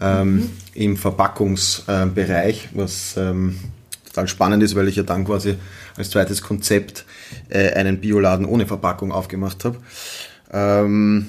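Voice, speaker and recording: A man with a fairly low pitch speaks at a moderate pace in a monotone, flat delivery. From Vienna, Austria. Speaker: gastronomy entrepreneur. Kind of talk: casual interview chat. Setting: in person at his market stall.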